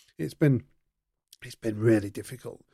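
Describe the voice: A man speaks at a moderate pace in a medium pitch, with ordinary pitch variation and some vocal fry. His tone is dark and mellow with a slightly husky edge.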